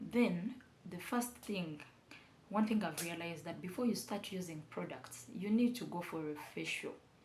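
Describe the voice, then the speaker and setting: At a fairly slow pace, a woman with a fairly low pitch and ordinary pitch variation speaks amid audible room echo and noticeable background noise. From Uganda. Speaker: beauty vlogger. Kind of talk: casual vlog tutorial. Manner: halting, with fillers and repetitions.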